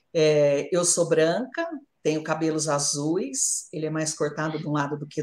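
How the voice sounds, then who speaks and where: Her voice is fairly low for a woman, with a dark, mellow tone. She keeps a moderate pace. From Brazil, São Paulo state (São Carlos). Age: 50s. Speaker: journalist. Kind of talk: live interview. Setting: at home in her kitchen.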